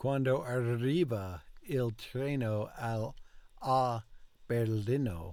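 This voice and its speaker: Here a man speaks at medium pitch. His tone is dark and mellow. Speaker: language learner vlogger. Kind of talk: language practice repetition. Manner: slow, in fits and starts; halting, repetitive.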